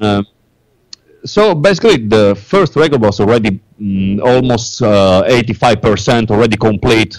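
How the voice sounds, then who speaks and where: At a moderate pace, a man talks in an Italian accent with medium pitch and ordinary pitch variation. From Italy. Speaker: metal band songwriter. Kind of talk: interview. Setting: Skype call. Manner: halting.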